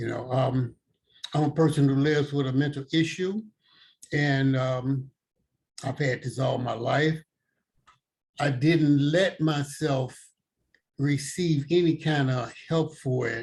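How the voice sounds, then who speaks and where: Very slowly and with long, frequent pauses, a man speaks in a somewhat breathy voice with fairly even intonation. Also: fairly high pitch for a man. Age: 70s. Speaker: person in recovery sharing experience. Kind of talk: testimony. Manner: halting, with repetitions and fillers.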